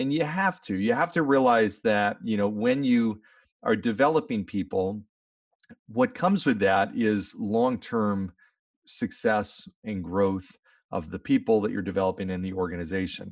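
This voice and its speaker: A man with an ordinary speaking voice, fairly low in pitch, talks at a moderate pace with lively intonation, recorded very cleanly over a silent background. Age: 40s. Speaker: leadership speaker and podcast host. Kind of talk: interview.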